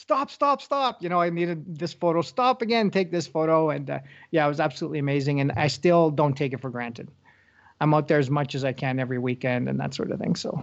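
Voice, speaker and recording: In a Northern Ontario accent, the speaker talks at a very fast pace. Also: man, fairly high pitch for a man. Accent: Canadian (Northern Ontario). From Northern Ontario, Canada (Sault Ste. Marie). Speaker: wildlife photographer. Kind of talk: casual interview.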